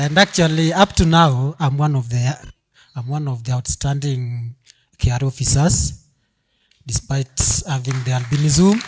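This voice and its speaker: Fairly high-pitched and somewhat breathy, a man speaks at a fairly slow pace with ordinary pitch variation. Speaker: young professional sharing a story. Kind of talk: audience testimony at event. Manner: halting.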